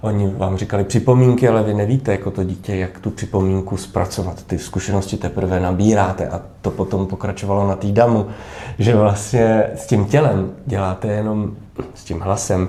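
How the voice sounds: A man with a dark, mellow tone and fairly low pitch speaks with few pauses and fairly even intonation.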